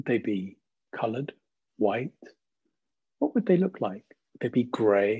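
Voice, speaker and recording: A man with a gentle, calm tone, somewhat breathy, fairly slow, lively in intonation, with long, frequent pauses. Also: medium pitch for a man. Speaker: meditation guide. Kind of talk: guided meditation. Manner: slow, gentle, calm; soothing, soft-spoken, with long pauses.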